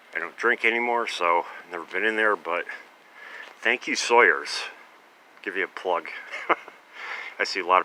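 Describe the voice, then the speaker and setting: A man's very deep, low voice at a moderate pace, with ordinary pitch variation, big swings in loudness and long, frequent pauses. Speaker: vlogger, former pharmacist collecting cans. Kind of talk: casual vlog narration. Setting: outdoors at night, on a bike. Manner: hesitant, many fillers; whispering.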